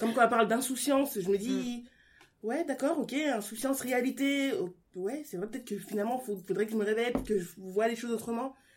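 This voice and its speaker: At a fairly quick pace, an ordinary speaking voice shows ordinary pitch variation. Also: woman, fairly high pitch for a woman. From France. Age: 20s. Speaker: guest reader. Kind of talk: casual book discussion.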